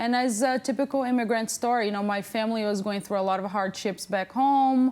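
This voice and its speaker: A woman speaks at a fairly quick pace with fairly even intonation, her pitch fairly high, in a Portuguese accent. The recording is very clean, with a silent background. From Brazil (Amazon region). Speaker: plus-size model. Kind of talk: talk show interview.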